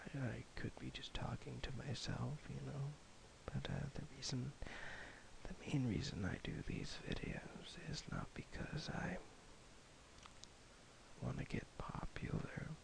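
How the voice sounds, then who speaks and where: Over noticeable background noise, a man whispers at a fairly slow pace, leaving long, frequent pauses. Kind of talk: casual talk to camera. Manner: slow, rambling, soft-spoken.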